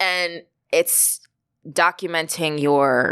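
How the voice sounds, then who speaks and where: With an American accent, a woman speaks at a very deep, low pitch with ordinary pitch variation on a very clean recording with a silent background. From Long Island, New York. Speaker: playwright. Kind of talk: interview.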